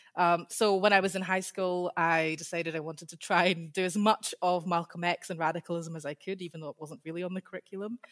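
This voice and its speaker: In a Scottish accent, a woman with a fairly low pitch speaks very fast with hardly any pauses, her intonation monotone and flat, her loudness swinging widely, and the sound dry and close with no echo. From Scotland. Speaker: PhD researcher in history. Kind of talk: interview.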